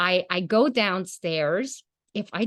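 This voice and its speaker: A plain, everyday voice with lively intonation comes through in a dry, close recording with no echo. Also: woman. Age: 40s. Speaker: podcast host. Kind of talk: casual chat.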